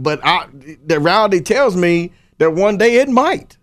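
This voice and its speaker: This man has a high pitch and lively intonation. He speaks with a Kentucky accent. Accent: Kentucky Southern US. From Paris, Kentucky. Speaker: high school sports writer. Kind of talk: interview. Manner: halting, repeats words.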